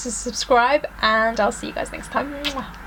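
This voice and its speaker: A woman with a British accent against noticeable background noise. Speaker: beauty vlogger. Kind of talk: product review vlog. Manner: fast.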